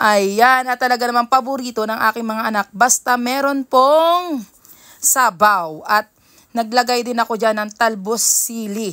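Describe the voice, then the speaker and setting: A woman speaks very slowly in a fairly high voice with a bright, sharp tone. The recording is very clean, with a silent background. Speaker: cooking vlogger. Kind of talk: voice-over narration. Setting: home at night. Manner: soft-spoken.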